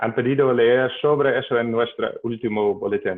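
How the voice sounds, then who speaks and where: A man speaks with a Dutch accent. His pace is very slow. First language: Dutch (speaking Spanish). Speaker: hydrologist, webinar organizer. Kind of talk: webinar introduction. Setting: video call. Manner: halting, many hesitations and self-corrections.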